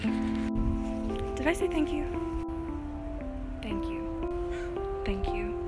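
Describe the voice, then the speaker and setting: A woman at a very slow pace with long, frequent pauses, in a dry sound with no echo, against loud music in the background. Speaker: voice over artist. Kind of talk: casual talk to camera. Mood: warm, grateful, playful. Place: street. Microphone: phone near.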